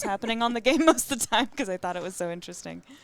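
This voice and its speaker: A woman speaks with a General American accent. Her pace is very fast. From Colorado. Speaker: pinball commentator. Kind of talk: live commentary.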